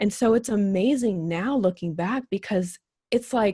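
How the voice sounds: A woman speaks at a fairly slow pace with a medium pitch, ordinary pitch variation, and a dark, mellow tone with a slightly husky edge. The recording is very clean, with a silent background.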